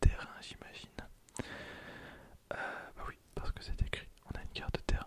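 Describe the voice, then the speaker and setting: A man whispers in a calm tone. Background noise is noticeable. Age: 20s. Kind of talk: ASMR card pack opening. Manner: whispered, close to microphone; calm, relaxing.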